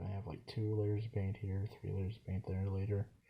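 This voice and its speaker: A quiet, mumbling man with a fairly low pitch and a dark, mellow, somewhat breathy tone, on a very clean recording with a silent background. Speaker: hobbyist miniature painter, YouTuber. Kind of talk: casual painting commentary. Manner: mumbling, quiet. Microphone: poor recording setup.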